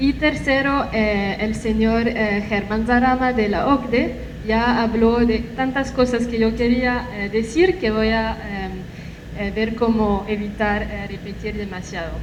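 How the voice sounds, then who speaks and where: At a very slow pace, a woman with a non-native accent speaks at a fairly high pitch with ordinary pitch variation. Audible room echo and noticeable background noise fill the recording. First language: not Spanish (speaking Spanish). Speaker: human rights expert, panelist. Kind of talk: conference talk. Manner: halting, many fillers.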